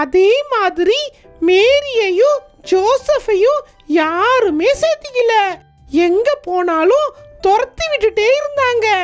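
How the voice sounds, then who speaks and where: A cartoonish character voice at an extremely high pitch, very slow in pace, with faint music in the background. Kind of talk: kids puppet show dialogue, Bible storytelling.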